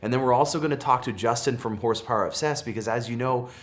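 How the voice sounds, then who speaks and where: An enthusiastic-toned man with a Canadian accent. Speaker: car dealership employee and automotive YouTuber. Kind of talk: casual video intro and interview. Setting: studio set. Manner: enthusiastic, with filler words.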